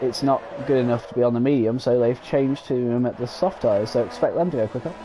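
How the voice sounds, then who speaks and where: A man is talking. Noticeable noise sits in the background. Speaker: sim racing league commentator. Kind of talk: live commentary. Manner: halting, many fillers.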